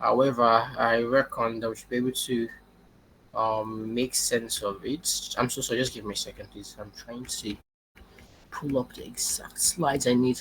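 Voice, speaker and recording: An ordinary speaking voice comes from a man at medium pitch and a moderate pace, with fairly even intonation but big swings in loudness. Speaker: machine learning engineer. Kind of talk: webinar talk.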